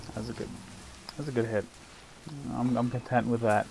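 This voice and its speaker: A man's voice over noticeable background noise. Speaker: gaming commentator. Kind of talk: let's play commentary. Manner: quiet.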